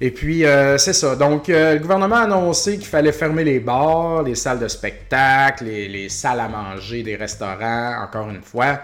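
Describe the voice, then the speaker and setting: A man talks at a moderate pace with a fairly high pitch. His pitch swings very widely. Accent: Quebec. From Quebec, Beauce. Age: 40s. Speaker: podcast host, retro game shop owner. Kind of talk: casual solo podcast monologue. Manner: casual, many hesitations.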